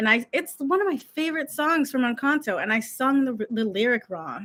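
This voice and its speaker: A woman speaks with a bright, sharp tone and lively intonation. The recording is very clean, with a silent background. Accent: American. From United States. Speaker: YouTube coach. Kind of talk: casual vlog monologue. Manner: fast; stumbles over words.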